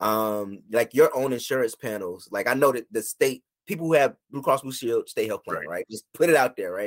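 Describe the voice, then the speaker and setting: A man with a plain, everyday voice and an American accent talks at a fairly quick pace with hardly any pauses and ordinary pitch variation, in a dry, close sound with no echo. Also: medium pitch for a man. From rural US. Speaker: licensed therapist. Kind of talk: casual chat.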